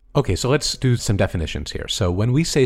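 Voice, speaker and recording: Speaking at a very fast pace, a man with an American accent sounds somewhat breathy on a very clean recording with a silent background. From United States. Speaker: film score podcast co-host. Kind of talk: casual chat.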